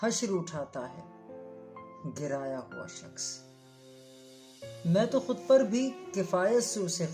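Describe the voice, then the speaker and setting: Music plays behind a woman as she talks. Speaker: radio presenter, voice-over artist. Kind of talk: poetry reading.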